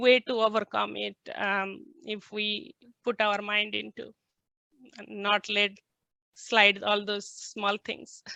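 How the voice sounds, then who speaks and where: Speaking very slowly with an Indian accent, a woman has a bright, sharp tone, recorded dry and close with no echo against a quiet background. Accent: Indian accent, noticeable. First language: non-English (Indian language). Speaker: scientist and company founder. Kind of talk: panel discussion. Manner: hesitant, many fillers.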